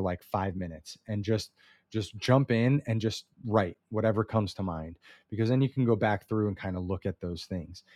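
A man with a plain, everyday voice speaks at a moderate pace in a fairly low pitch with ordinary pitch variation, the sound dry and close with no echo against a quiet background. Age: 30s. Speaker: business coach podcast host. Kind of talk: solo instructional talk. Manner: casual with frequent fillers.

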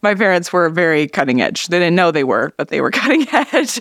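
A woman with an Upper Midwest US accent and a medium pitch speaks at a very fast pace in a dry, close recording with no echo. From northern Minnesota. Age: 40s. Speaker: artist. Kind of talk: casual chat.

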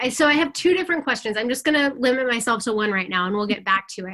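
Using a raised, projected voice, a woman speaks very fast with very wide pitch swings. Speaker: co-host interviewer. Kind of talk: interview.

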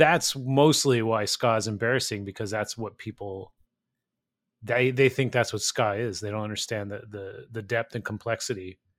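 In a very clean recording with a silent background, a man with an American accent speaks in a plain, everyday voice at medium pitch, keeping a moderate pace and fairly even intonation. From California, small town. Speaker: author and music podcaster. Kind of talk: interview.

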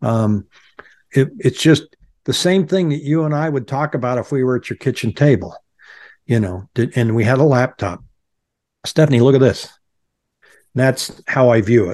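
A man's medium-pitched voice at a moderate pace, with ordinary pitch variation and long, frequent pauses, in a dry, close sound with no echo. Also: quiet background. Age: 60s. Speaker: real estate agent and YouTuber. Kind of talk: casual interview.

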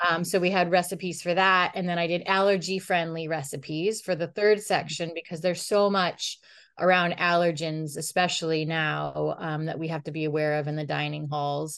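A normal speaking voice with an American accent runs on with hardly any pauses and fairly even intonation over a quiet background. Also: woman, fairly low pitch for a woman, moderate pace. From upstate New York. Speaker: chef and dietitian. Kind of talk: interview answers.

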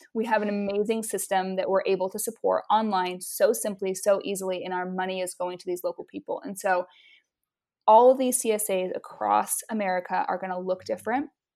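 In a very clean recording with a silent background, a woman talks fairly quickly with a dark, mellow tone and fairly even intonation. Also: medium pitch for a woman. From Utah. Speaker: photographer and marketing strategist. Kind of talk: interview conversation.

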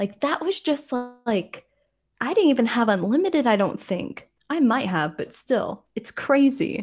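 Speaking with an American accent, a woman uses a high pitch with very wide pitch swings at a fairly slow pace. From rural South Carolina, US South. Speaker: American expat. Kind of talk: casual chat.

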